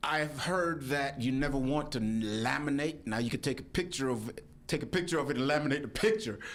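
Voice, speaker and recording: Audible room echo and very even loudness. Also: man, fairly high pitch for a man, ordinary pitch variation. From Jamaica. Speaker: pastor and election official. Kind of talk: radio interview. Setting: radio studio.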